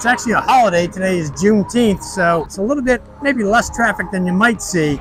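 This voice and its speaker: A man speaks fairly quickly in a raised, projected voice with a high pitch. Noticeable background noise runs behind him. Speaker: real estate agent and channel host. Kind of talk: casual vlog explainer. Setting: outdoors by a highway. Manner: loud.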